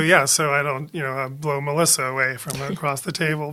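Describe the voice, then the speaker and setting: A man speaks with a bright, sharp tone. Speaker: podcast co-host.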